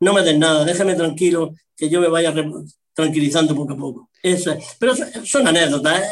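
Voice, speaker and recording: Fairly quick delivery in a plain, everyday voice, its pitch varying in an ordinary way. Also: man, fairly high pitch for a man. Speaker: retired football referee and media pundit. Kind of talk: casual interview.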